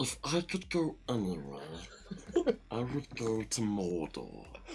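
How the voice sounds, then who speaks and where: Clear background noise can be heard. A put-on character voice speaks low in pitch and at a fairly slow pace. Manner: creepy, gollum-like.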